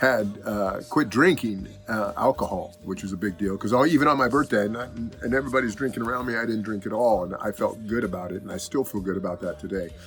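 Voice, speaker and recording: With music in the background, a man with a fairly low voice talks at a very fast pace with hardly any pauses. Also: ordinary pitch variation. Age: 60s. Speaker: musician. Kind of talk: casual talk to camera.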